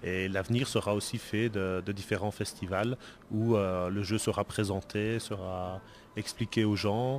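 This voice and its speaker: A man's fairly low-pitched voice, fairly slow and in a monotone, flat intonation. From Belgium. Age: 40s. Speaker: board game designer. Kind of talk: interview. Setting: convention event.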